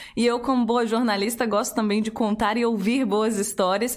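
With an animated tone, a woman talks at a moderate pace in a fairly high voice. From Curitiba, Brazil. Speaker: podcast host. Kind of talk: casual interview.

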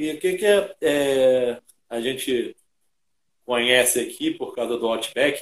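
Pausing long and often, a man talks very slowly. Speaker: podcast host. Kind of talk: casual interview.

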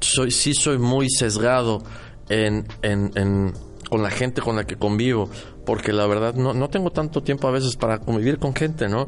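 A man with an unremarkable speaking voice, medium in pitch, with ordinary pitch variation and very even loudness. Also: fairly slow pace. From Mexico City, central Mexico. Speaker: architect and radio host. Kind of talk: casual chat.

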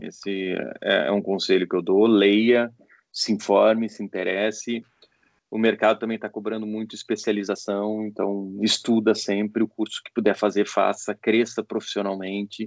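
A man's fairly low, flat, monotone voice at a moderate pace, with big swings in loudness and a dry, close sound without echo. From Porto Alegre, southern Brazil. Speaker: sports journalist and lawyer. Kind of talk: interview. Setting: video call.

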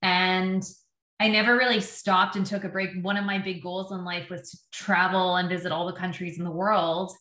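Speaking with a Canadian accent, a woman has a bright, sharp tone. Her intonation is monotone and flat, while her loudness swings widely. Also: medium pitch for a woman, moderate pace. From Canada, Windsor, Ontario. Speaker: public relations agency founder. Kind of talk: interview.

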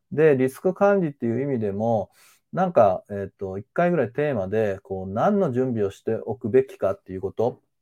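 Man at a fairly quick pace, medium in pitch, dark and mellow in tone, with very wide pitch swings and big swings in loudness. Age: 50s. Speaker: manual therapist and sports trainer. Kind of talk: live-stream lecture. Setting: live stream. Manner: frequent filler hesitations.

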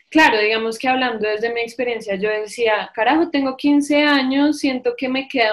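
A woman with a high voice speaks at a moderate pace with ordinary pitch variation. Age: 20s. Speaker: psychologist and amateur cyclist. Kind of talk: testimony.

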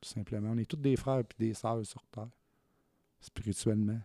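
Heard with dry, close sound and no echo, a man with a Quebec accent has a dark, mellow tone, medium pitch and a moderate pace. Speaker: guest sharing life story. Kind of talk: testimony.

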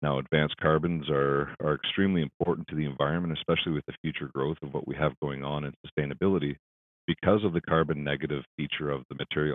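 A man with a Canadian accent talks at a very fast pace. His voice is very deep and low, with fairly even intonation. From southwestern Ontario, Canada. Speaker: business executive. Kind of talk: interview.

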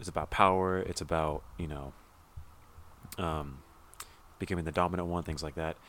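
A man with a Californian accent and a very deep, low pitch, at a moderate pace with a monotone, flat intonation and long, frequent pauses. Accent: Californian American. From Southern California. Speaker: podcast co-host. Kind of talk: casual chat.

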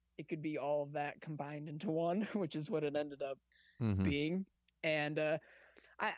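Against a quiet background, the speaker talks at a moderate pace with long, frequent pauses. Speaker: podcast host and punk band member. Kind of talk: casual chat. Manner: animated.

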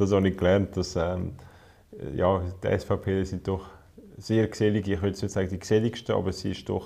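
In a Swiss German accent, a man with a very deep, low pitch and a dark, mellow tone speaks at a moderate pace. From Switzerland, canton of Zurich. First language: Swiss German (speaking German). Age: 20s. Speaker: politician. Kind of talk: casual conversation.

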